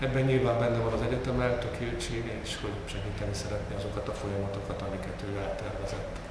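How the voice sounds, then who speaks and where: Over loud background noise and audible room echo, a man speaks at a very fast pace with hardly any pauses. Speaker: university rector. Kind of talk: press conference address. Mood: pleased, congratulatory. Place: meeting room. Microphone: podium.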